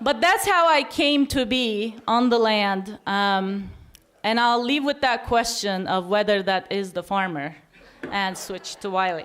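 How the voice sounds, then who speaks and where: Speaking at a fairly slow pace with a non-native accent, a woman uses lively intonation at a fairly high pitch. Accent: foreign. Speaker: academic and farmer, festival speaker. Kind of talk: conference talk.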